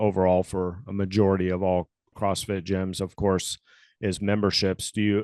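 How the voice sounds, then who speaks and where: With an American accent and a normal speaking voice, the speaker goes at a moderate pace, the sound dry and close with no echo over a quiet background. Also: man. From Florida. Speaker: podcast host. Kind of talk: interview.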